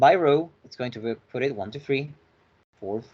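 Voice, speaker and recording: A man with a medium pitch talks at a moderate pace, his pitch varying in an ordinary way. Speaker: finance tutorial instructor. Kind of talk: lecture.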